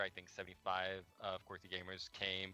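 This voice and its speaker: With a Quebec accent, a man talks in a very deep, low pitch with a bright, sharp tone. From Quebec, Montreal. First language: French. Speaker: game development manager. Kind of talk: interview. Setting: livestream. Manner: hesitant, many fillers.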